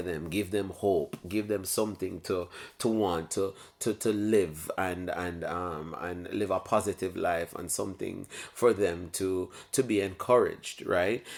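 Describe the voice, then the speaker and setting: This man with a Jamaican accent has a very deep, low pitch and fairly even intonation, speaking at a fairly slow pace on a very clean recording with a silent background. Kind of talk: casual talk to camera. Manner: reflective, hesitant.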